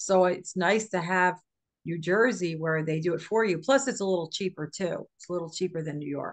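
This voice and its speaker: With an unremarkable speaking voice, a woman at medium pitch talks fairly quickly, her pitch varying in an ordinary way while her loudness swings widely. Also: quiet background. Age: 60s. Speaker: podcast co-host. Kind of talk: casual chat.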